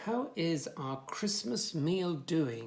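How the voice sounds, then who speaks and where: In a put-on character voice, a man speaks at a high pitch with very wide pitch swings. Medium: read story. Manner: cheerful, relishing.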